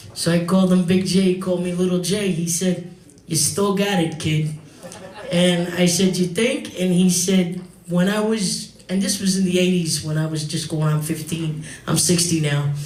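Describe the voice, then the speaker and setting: Someone with a New York accent speaks at a moderate pace with fairly even intonation, amid noticeable background noise and audible room echo. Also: man, high pitch for a man. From New York, the Bronx. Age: 60s. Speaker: singer and comedian. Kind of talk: eulogy speech at memorial. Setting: bar with live audience.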